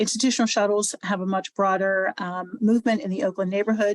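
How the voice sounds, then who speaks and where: Very fast speech comes from a woman at medium pitch with fairly even intonation. The recording is dry and close, without echo. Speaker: transportation nonprofit director. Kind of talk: presentation.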